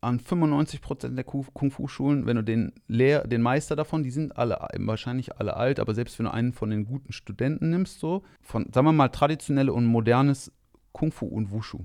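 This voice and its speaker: Against a quiet background, a man with an unremarkable speaking voice talks at a moderate pace in a medium pitch with ordinary pitch variation. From Rhineland, Germany (Monheim). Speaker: kung fu teacher. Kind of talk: casual chat.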